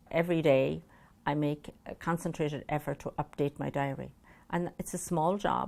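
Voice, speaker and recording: In an Irish accent, a woman with a very deep, low pitch and vocal fry speaks at a moderate pace with fairly even intonation. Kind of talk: interview answer.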